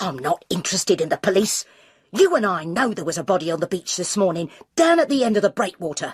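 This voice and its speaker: A put-on character voice, female-sounding and growling, at a medium pitch for a woman and a very fast pace. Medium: read story. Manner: blunt, pushy, secretive.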